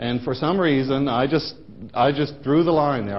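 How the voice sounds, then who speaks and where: With audible room echo, a man with a fairly high pitch talks at a fairly quick pace, his pitch varying in an ordinary way. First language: Dutch. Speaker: professor. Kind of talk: lecture. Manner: halting, many fillers.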